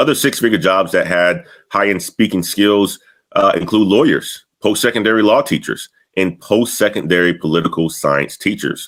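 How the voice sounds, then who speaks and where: Energetic in tone, a man with a fairly low pitch speaks with lively intonation and very even loudness. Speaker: career coach youtuber. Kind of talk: educational talk to camera. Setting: home studio. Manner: energetic, sometimes fast.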